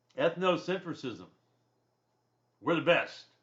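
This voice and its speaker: A high-pitched man with a Southern US accent, at a fairly slow pace. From US South. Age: 60s. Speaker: college instructor. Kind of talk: lecture. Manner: conversational.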